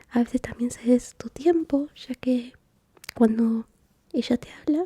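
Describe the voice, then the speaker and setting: A woman speaks at a fairly slow pace with a gentle tone. Her pitch is high. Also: ordinary pitch variation, dry, close sound with no echo. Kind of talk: ASMR therapy roleplay, soft-spoken. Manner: soft-spoken, caring, gentle.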